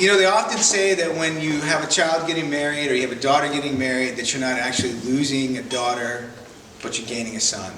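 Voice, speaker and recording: Talking at a very fast pace, a man has a fairly high pitch with ordinary pitch variation and an American accent. Noticeable background noise and audible room echo are present. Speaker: best man. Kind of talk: wedding speech. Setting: wedding reception in a barn, with audience. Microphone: no microphone.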